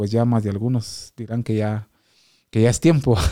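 In a very clean recording with a silent background and a dry, close sound without echo, a man of medium pitch speaks at a moderate pace, with fairly even intonation and a dark, mellow tone. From Guatemala, Quetzaltenango. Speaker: professional cyclist. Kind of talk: interview. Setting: studio.

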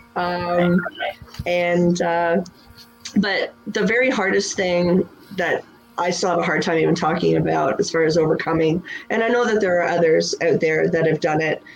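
A woman's fairly low voice at a moderate pace, very even in loudness, over noticeable background noise. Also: ordinary pitch variation. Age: 40s. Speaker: business owner. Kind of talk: interview.

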